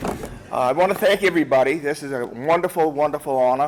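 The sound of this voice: At a moderate pace, a man talks with a fairly high pitch and ordinary pitch variation.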